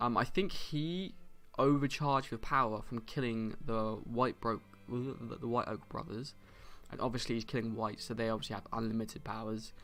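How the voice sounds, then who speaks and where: With music in the background, a man speaks at a medium pitch using ordinary pitch variation. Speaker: book reviewer. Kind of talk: casual chat. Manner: fast.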